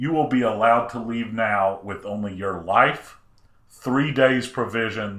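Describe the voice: Someone reads aloud plainly. The pitch varies in an ordinary way.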